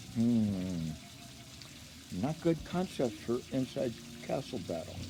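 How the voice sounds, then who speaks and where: Noticeable noise sits behind a man who talks very slowly. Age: 70s. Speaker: karate teacher. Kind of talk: casual monologue to camera. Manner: halting.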